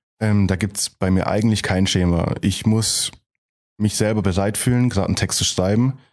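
A man with an ordinary speaking voice talks at a fairly low pitch, with fairly even intonation and very even loudness against a quiet background. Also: moderate pace. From Germany, Heilbronn area (Baden-Württemberg). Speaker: rapper. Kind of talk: interview.

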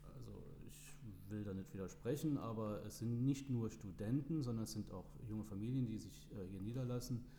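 A man's medium-pitched voice with ordinary variation, in audible room echo and noticeable background noise. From Germany, Trier (Rhineland-Palatinate). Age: 40s. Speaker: local politics candidate and restaurant owner. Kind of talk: podcast interview. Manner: hesitant with fillers.

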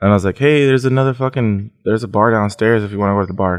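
Against a quiet background, a man speaks in a fairly low pitch with ordinary pitch variation. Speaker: guest, friend of the show. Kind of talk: casual chat. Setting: on location. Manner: quivering voice.

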